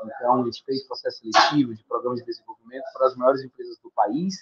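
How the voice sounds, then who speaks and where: A man talking at a very fast pace, with dry, close sound and no echo. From Brazil, Fortaleza, Ceará. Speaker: leadership program founder. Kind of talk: podcast interview.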